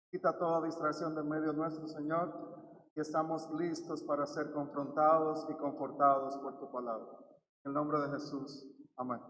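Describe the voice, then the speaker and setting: With audible room echo, a man of fairly high pitch speaks at a moderate pace in a monotone, flat intonation. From Dominican Republic. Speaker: pastor. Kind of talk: prayer; service announcement. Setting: church.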